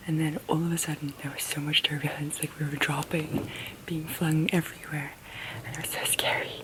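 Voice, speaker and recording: Noticeable background noise accompanies a woman whispering at a fairly quick pace. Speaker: vlogger. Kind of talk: casual vlog talk. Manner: soft-spoken.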